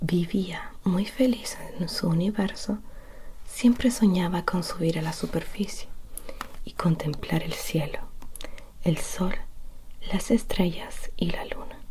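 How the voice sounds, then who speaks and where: Soft-spoken, very slow speech full of long, frequent pauses, over noticeable background noise. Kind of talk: bedtime story reading.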